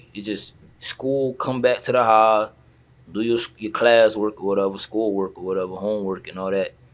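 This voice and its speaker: A man with an American accent and an unremarkable speaking voice, fairly low in pitch, with fairly even intonation at a moderate pace. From South Florida, Haitian family. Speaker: rapper. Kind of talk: casual interview.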